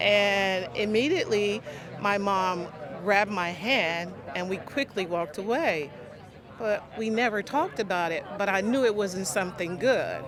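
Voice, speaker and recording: Noticeable background noise and audible room echo surround this recording. The woman's voice shows ordinary pitch variation. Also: medium pitch for a woman, moderate pace. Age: 60s. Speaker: teacher. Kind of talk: testimony.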